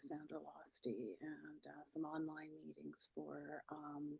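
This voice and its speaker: A soft-spoken woman talks at a fairly slow pace. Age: 60s. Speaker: podcaster in addiction recovery. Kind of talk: interview.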